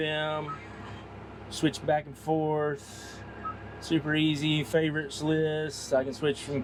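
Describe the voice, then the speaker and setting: The speaker is a man with a fairly high pitch. Noticeable background noise runs behind him. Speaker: tractor sales manager. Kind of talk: product demo walkthrough. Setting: inside a tractor cab. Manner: loud; casual, conversational.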